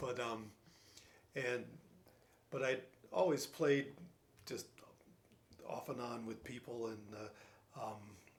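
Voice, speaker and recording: A man with an American accent speaks at a medium pitch and a very slow pace. His intonation is fairly even, broken by long, frequent pauses. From New Jersey. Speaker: retired scientist, piano student. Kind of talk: casual interview. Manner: halting, many fillers and repeats.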